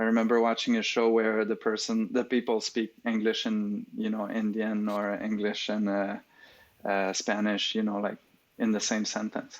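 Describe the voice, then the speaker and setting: A man's fairly low voice with a slight French accent, monotone and flat intonation, and a moderate pace, on a very clean recording with a silent background. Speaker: AI research lead. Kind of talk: podcast interview. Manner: hesitant, many fillers.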